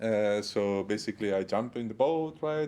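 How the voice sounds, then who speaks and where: With a strong non-native accent, a man speaks using ordinary pitch variation. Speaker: iOS developer. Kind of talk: conference talk. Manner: halting, many fillers.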